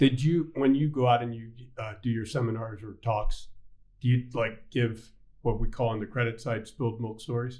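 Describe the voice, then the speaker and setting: A man with a dark, mellow, somewhat breathy tone speaks at a moderate pace and a medium pitch, with fairly even intonation but big swings in loudness. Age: 60s. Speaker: bank CEO and podcast host. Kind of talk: casual interview chat.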